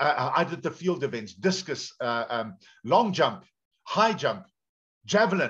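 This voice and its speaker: Against a quiet background, a man with a South African accent speaks at a fairly slow pace, his pitch making very wide swings. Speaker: pastor. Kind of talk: sermon. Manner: animated. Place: home room. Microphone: video call.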